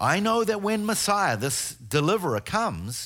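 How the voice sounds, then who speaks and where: Very wide pitch swings mark a man's speech in a New Zealand accent at a fairly slow pace. The recording is very clean, with a silent background. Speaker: guest preacher and tour guide. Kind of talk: sermon. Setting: church. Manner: halting.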